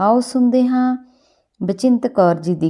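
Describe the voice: A woman speaks slowly in a dark, mellow tone. Her pitch varies in an ordinary way.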